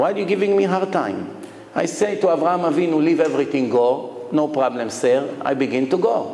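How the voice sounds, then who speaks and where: A man with a fairly high pitch and lively intonation, talking at a fairly quick pace with very even loudness, plus audible room echo and noticeable background noise. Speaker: rabbi. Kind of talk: lecture. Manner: animated.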